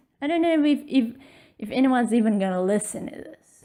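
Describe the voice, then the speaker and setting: Very wide pitch swings mark a woman's fairly high, dark and mellow voice. She speaks at a fairly quick pace, recorded very cleanly with a silent background. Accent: non-native. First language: not English. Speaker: art vlogger. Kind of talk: casual tutorial. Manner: halting, stammering.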